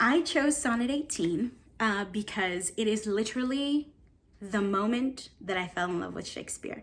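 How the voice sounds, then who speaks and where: A woman with a Spanish accent talks in a fairly high pitch, her voice somewhat breathy. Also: lively intonation, moderate pace. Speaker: stage actor. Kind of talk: casual talk to camera.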